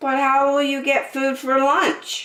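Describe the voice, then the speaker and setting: A woman's put-on character voice, high in pitch and monotone, flat in intonation, at a fairly slow pace. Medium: read story.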